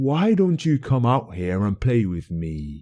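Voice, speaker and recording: Putting on a character voice, a man talks at a fairly slow pace in a medium pitch with very wide pitch swings. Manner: taunting.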